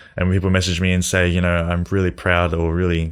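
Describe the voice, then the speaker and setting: In a very clean recording with a silent background, a man speaks in a flat monotone at a very deep, low pitch. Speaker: podcast host and clothing designer. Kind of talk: casual monologue. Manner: fast; halting, stumbling on words.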